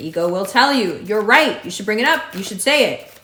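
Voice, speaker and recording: A woman's fairly high-pitched voice with audible room echo and noticeable background noise. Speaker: astrologer. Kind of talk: horoscope reading.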